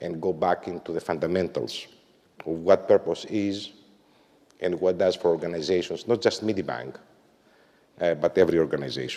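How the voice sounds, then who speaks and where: A man at a fairly quick pace, broken by long, frequent pauses. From Greece. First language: Greek. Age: 50s. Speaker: management consultant and author. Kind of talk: corporate talk. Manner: frequent filler words and hesitations.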